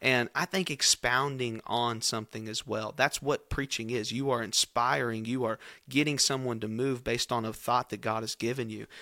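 A man with a Kentucky accent speaks at medium pitch and a moderate pace, with hardly any pauses. His tone is bright and sharp, and the sound is dry and close with no echo. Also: fairly even intonation, very clean recording, silent background. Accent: Kentucky Southern US. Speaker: youth pastor. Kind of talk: casual chat.

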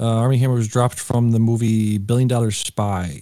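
In an unremarkable speaking voice, a man talks fairly quickly at a medium pitch with fairly even intonation, on a very clean recording with a silent background. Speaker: podcast host. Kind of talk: casual chat.

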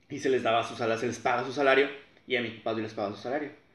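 Heard with audible room echo, a man speaks at a medium pitch with fairly even intonation. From Matamoros, Tamaulipas, Mexico. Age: 20s. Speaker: engineering graduate, family food business. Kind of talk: casual interview chat.

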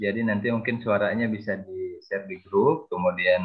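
The man speaks at a moderate pace. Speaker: class coordinator. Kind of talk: casual chat. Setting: video call.

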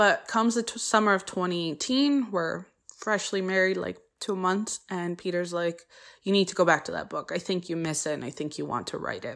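This very clean recording has a silent background. A woman talks at a fairly quick pace in a medium pitch with ordinary pitch variation. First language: Polish. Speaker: podcast host, college professor. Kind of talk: podcast monologue introduction.

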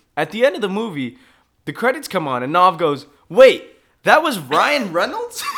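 Very wide pitch swings at a moderate pace, with an American accent. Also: man, high pitch for a man. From Michigan. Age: 20s. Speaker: podcast co-host. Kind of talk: casual chat.

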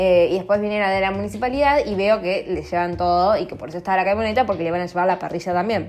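A woman with a Rioplatense accent talks at a very fast pace and medium pitch in an animated tone, with ordinary pitch variation and hardly any pauses. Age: 30s. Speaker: podcaster. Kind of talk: casual monologue.

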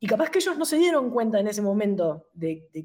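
Over a silent background in a very clean recording, a woman talks at a fairly quick pace with lively intonation in a plain, everyday voice. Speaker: karate instructor. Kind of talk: interview.

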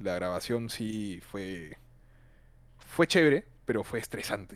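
The man's pitch moves in an ordinary way as he talks. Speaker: film student. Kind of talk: casual chat. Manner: shy, hesitant.

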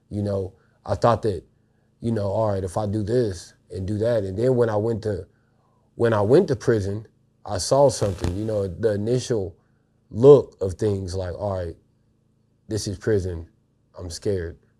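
A man with a dark, mellow tone and fairly low pitch speaks at a moderate pace with long, frequent pauses and fairly even intonation, on a very clean recording with a silent background. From Missouri. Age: 30s. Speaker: program graduate. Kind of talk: testimony. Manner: halting.

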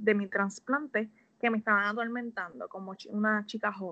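Her tone is bright and sharp, and her voice sits fairly high for a woman. The intonation stays fairly even. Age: 20s. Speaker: health coach. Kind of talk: casual interview.

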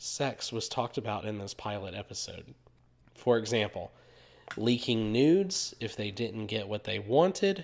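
This man, with a Southern US accent, swings his pitch very widely on a very clean recording with a silent background. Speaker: podcast co-host. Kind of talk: casual chat.

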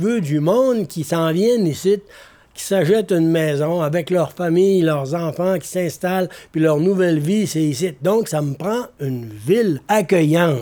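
A man speaks at a fairly slow pace in a high voice with a dark, mellow tone and ordinary pitch variation. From Quebec, North Shore (Baie-Comeau). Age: 80s+. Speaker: storyteller. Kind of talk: storytelling.

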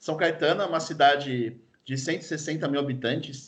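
With audible room echo, a man speaks at a fairly high pitch and with fairly even intonation. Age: 30s. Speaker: football fan guest. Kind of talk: casual chat.

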